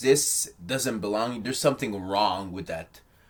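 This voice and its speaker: Here a man speaks with a non-native accent. His pace is moderate, with ordinary pitch variation. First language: not English. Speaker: video essayist on film. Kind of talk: casual commentary video. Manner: halting, many fillers.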